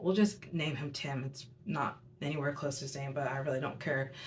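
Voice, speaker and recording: A somewhat breathy woman speaks with a very deep, low pitch. Audible room echo surrounds her voice. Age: 20s. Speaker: youtuber, tarot reader. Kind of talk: storytelling monologue. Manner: casual, filler-heavy.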